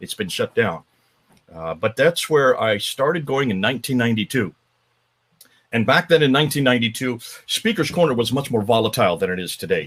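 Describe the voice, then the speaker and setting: A man speaks at a medium pitch with an American accent and vocal fry. His intonation is lively and his pace fairly quick. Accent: sounds American. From northern India (missionary family, Himalayas). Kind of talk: interview on a live stream.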